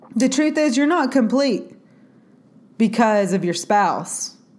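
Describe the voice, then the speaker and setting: A woman sounds animated, her intonation lively, with audible echo from the room. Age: 30s. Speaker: faith podcast host. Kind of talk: solo podcast monologue.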